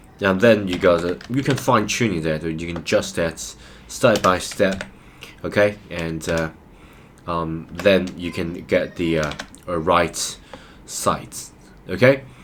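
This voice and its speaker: A man with a very deep, low pitch and ordinary pitch variation, fairly slow with long, frequent pauses, over noticeable background noise. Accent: non-native. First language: not English. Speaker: programming tutor. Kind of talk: tutorial. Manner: hesitant, many fillers.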